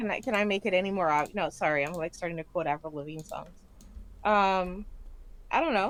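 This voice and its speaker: A woman speaks at a fairly quick pace with a medium pitch, ordinary pitch variation, and long, frequent pauses. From US South, Miami. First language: Spanish and Haitian Creole. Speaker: gaming streamer. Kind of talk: casual chat. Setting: live stream.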